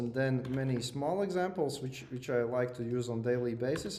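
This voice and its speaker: A man at medium pitch with a non-native accent, moderate pace and audible room echo. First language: not English. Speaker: lecturer. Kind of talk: lecture. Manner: hesitant, many fillers and repeats.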